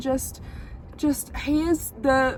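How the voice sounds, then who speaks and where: A woman with a high pitch and a North Carolina accent speaks over noticeable background noise. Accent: Southern US (North Carolina). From US South, North Carolina. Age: 20s. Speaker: vlogger and small business owner. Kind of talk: casual vlog chat. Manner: chatty, fillers and repetitions.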